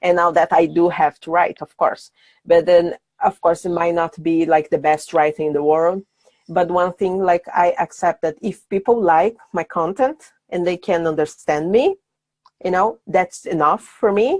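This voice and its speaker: A woman with a Portuguese accent and fairly low pitch, fairly even intonation at a moderate pace, in a dry, close sound with no echo. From Brazil, Sao Paulo. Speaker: brand designer. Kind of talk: podcast interview. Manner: halting.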